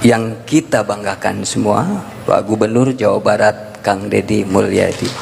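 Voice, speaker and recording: A man speaks at a fairly slow pace with very even loudness over noticeable background noise. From West Java, Sundanese (non-Priangan). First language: Sundanese (speaking Indonesian). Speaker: event speaker. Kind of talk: public speech.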